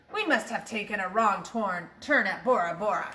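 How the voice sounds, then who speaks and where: A woman puts on a character voice at a medium pitch. She talks at a moderate pace. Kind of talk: storybook pirate voice. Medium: read story. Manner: bellowing, hearty pirate slang.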